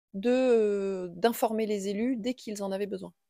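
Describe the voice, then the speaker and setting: Speaking at a very slow pace, a woman uses a fairly high pitch with ordinary pitch variation and a dark, mellow tone, recorded with a dry, close sound with no echo. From central France, Indre-et-Loire. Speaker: schoolteacher and local councillor. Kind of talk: interview. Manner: halting, many hesitations.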